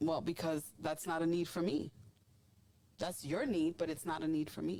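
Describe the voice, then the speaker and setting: A woman's dark, mellow voice with vocal fry, fairly low in pitch, ordinary pitch variation, moderate pace. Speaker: podcast host. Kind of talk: casual chat. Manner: loud; animated.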